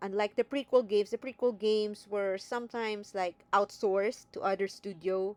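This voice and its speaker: A woman with a non-native accent speaks in a dry, close recording with no echo. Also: medium pitch for a woman, moderate pace, hardly any pauses. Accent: non-native accent, self-noted. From neither Greece nor US. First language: not English. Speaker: video game commentator. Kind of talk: casual video commentary. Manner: hesitant, with fillers.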